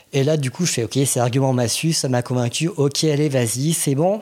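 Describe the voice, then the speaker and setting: This man's voice sits at a fairly high pitch. It is somewhat breathy. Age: 30s. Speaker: podcast guest, communications worker. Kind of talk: casual interview. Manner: hesitant, many fillers.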